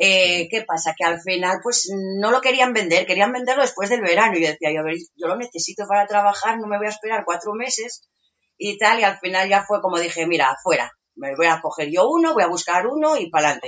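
An ordinary speaking voice from a woman, medium in pitch, with lively intonation and a fairly quick pace. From Asturias, Spain. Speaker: market stall vendor living in a truck camper. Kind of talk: casual interview.

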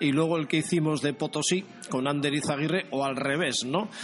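Fairly high-pitched male voice against noticeable background noise. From Basque Country, San Sebastián. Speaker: radio host. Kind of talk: casual interview.

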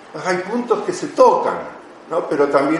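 A man speaks with noticeable background noise. The room gives audible echo. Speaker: missionary speaker. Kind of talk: lecture.

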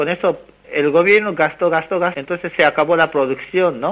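A man with a high pitch speaks at a moderate pace. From Japan. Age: 30s. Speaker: economics researcher. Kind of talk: interview. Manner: halting.

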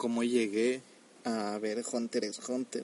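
Delivered with fairly even intonation, the words come at a fairly slow pace. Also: man. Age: 20s. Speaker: anime reviewer. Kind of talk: casual monologue.

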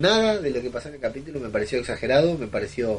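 This man talks at a very fast pace in a medium pitch, his voice somewhat breathy. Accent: Argentine. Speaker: podcaster. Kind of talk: recorded voice message. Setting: self-recorded audio.

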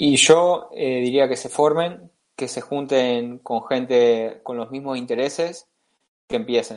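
The speech moves at a very slow pace, with big swings in loudness. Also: man, medium pitch for a man, ordinary pitch variation. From Spain (Tarragona, Catalonia), moved to Argentina at 15. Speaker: accountant and investor. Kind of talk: casual interview. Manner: halting, many fillers.

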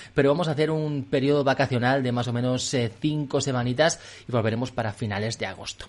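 Talking at a very fast pace, a man at medium pitch uses ordinary pitch variation. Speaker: podcast host. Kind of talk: casual chat. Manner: animated.

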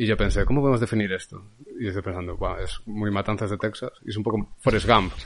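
Pitched fairly low, a man speaks at a very fast pace with fairly even intonation. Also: quiet background. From Galicia, Spain (Lugo). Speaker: film director. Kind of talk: casual chat.

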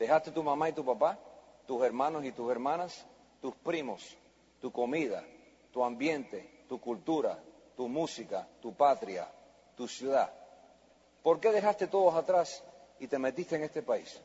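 Delivered at a fairly slow pace, this voice has ordinary pitch variation and long, frequent pauses. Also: man, fairly high pitch for a man. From US, child of Spanish-speaking immigrant. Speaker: network marketing speaker. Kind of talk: motivational speech. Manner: animated.

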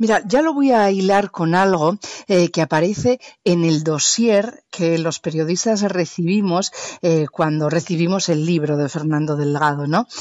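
Fairly low in pitch, a woman speaks at a fairly slow pace with ordinary pitch variation and very even loudness, in a dry, close sound with no echo. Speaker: radio journalist and podcast host. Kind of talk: interview. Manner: fluent.

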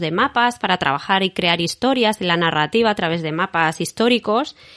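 An ordinary speaking voice from a woman, lively in intonation at a moderate pace, with a dry, close sound with no echo. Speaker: podcast host and artist. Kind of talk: casual interview chat.

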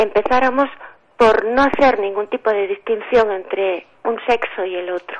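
A woman speaks at a fairly slow pace, her fairly high voice showing ordinary pitch variation. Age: 60s. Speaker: writer. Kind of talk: radio interview.

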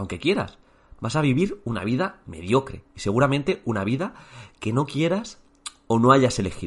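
A man talks at a moderate pace in a medium pitch with vocal fry. His pitch swings very widely. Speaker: teacher and exam coach. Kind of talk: motivational talk.

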